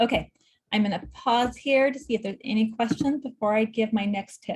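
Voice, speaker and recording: Somewhat breathy female speech, fairly high-pitched and fairly quick. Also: ordinary pitch variation. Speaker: clinical social worker. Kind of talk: lecture.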